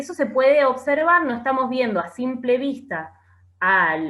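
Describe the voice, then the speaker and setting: Speaking at a fairly slow pace, a woman with a high pitch and a bright, sharp tone swings very widely in pitch. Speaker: teacher. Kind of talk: lecture.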